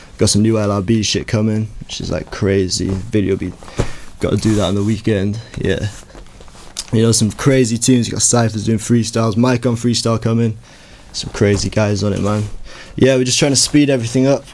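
A man talks at a moderate pace with a fairly low pitch and fairly even intonation. Noticeable background noise sits behind him. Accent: Welsh. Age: young. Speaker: rapper. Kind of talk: casual chat.

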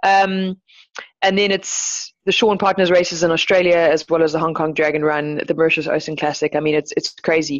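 In a normal speaking voice, a woman talks fairly quickly at a fairly low pitch, her intonation fairly even and her loudness very even. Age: 30s. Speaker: professional surfski paddler. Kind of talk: podcast interview.

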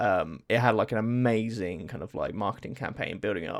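Speaking with an English accent, a man uses lively intonation at a moderate pace on a very clean recording with a silent background. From England. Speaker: podcast co-host. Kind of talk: casual chat.

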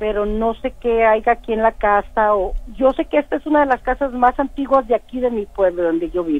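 In an ordinary speaking voice, a woman talks at a fairly quick pace with a fairly high pitch, lively intonation and hardly any pauses. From Matamoros, Tamaulipas, Mexico. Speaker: caller. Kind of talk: phone-in story.

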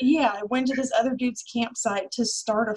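A woman's somewhat breathy voice at a moderate pace, with ordinary pitch variation. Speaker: podcast co-host. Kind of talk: casual chat, storytelling.

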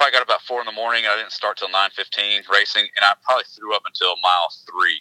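A man with an East Tennessee accent at a very fast pace. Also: dry, close sound with no echo. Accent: Southern US (East Tennessee). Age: 40s. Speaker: realtor and endurance racer. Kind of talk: casual chat.

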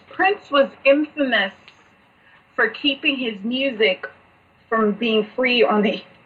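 Very slowly, a woman with a high pitch speaks in lively intonation amid noticeable background noise. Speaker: podcast co-host. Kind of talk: casual chat.

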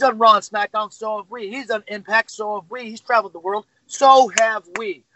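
The speaker talks at a moderate pace with an American accent, leaving hardly any pauses. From Syracuse, New York. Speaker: professional wrestler. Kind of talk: wrestling promo; interview.

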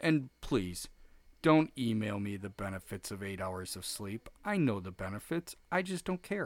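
On a very clean recording with a silent background, a man with an unremarkable speaking voice talks at a fairly slow pace with lively intonation. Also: fairly low pitch for a man. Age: 40s. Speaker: podcast host. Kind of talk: casual chat. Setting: home basement studio.

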